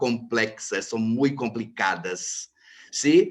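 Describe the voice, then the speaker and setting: Against a quiet background, a speaker with a Brazilian accent talks at a very slow pace with lively intonation. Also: man. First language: Portuguese (speaking Spanish). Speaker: lawyer. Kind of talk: panel talk. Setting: video call.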